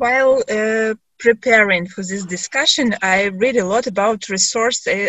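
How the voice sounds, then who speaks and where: A woman with a Ukrainian accent speaks at a fairly slow pace with ordinary pitch variation. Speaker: discussion moderator. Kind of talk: panel discussion moderation. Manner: halting.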